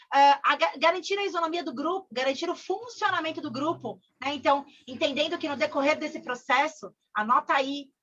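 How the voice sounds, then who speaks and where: A woman talks at a fairly quick pace in a raised, projected voice, her tone bright and sharp and her intonation lively. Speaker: corporate trainer. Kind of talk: online training session. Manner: fast; animated.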